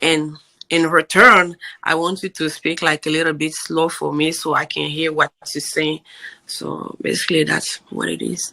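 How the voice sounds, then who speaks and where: A woman's very deep, low voice with a strong African accent, bright, sharp tone, vocal fry and monotone, flat intonation. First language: African native language. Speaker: podcast guest, immigrant mother. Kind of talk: casual interview chat. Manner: deliberately slow.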